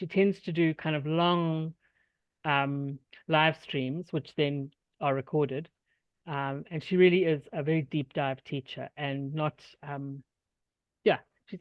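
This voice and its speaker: Speaking at a fairly slow pace with long, frequent pauses, a woman with a South African accent uses a very deep, low pitch and fairly even intonation. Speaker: workshop presenter, software tutorial teacher. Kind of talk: tutorial; casual chat.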